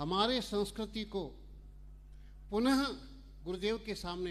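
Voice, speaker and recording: His pitch varies in an ordinary way. The speaker is a man with a high voice. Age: 70s. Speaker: scholar speaking at a religious event. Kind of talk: public speech. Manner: formal.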